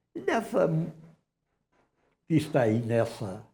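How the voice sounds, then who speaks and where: Somewhat breathy with a dark, mellow tone, the voice moves at a fairly slow pace with lively intonation. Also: man. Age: 80s+. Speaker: museum director. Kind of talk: TV interview.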